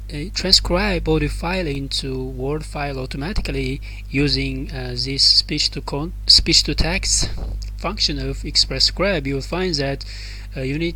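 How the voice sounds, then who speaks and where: A non-native accent at a fairly slow pace, with music in the background. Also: man. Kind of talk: software tutorial screen narration. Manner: hesitant, many filler sounds.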